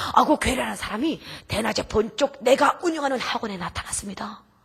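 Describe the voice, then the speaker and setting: This woman's high voice moves at a moderate pace, her pitch swinging very widely. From North Korea. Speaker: missionary, North Korean defector. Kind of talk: testimony. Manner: emotional.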